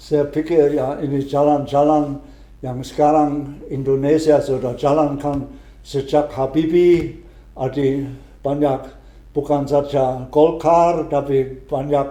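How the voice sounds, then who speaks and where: In a room with audible echo, a man speaks very slowly in a fairly high voice with a dark, mellow tone. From Germany. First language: German (speaking Indonesian). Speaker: retired missionary priest. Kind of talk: interview. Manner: halting, with frequent hesitations and restarts.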